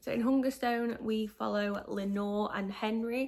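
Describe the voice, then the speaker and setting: Someone with a Yorkshire accent talks at a fairly slow pace. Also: woman. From northern England, Yorkshire. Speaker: book vlogger. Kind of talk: casual book review.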